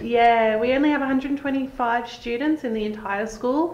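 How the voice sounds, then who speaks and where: With audible room echo, a woman speaks in a high pitch with fairly even intonation. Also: moderate pace. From Australia. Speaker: real estate agent and host. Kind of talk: interview host on a real estate video show. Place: office. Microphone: lapel.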